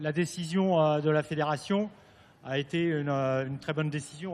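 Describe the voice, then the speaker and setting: A man with a French accent, fairly high in pitch, with fairly even intonation. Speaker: team manager. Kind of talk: press conference answers. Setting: media center press conference.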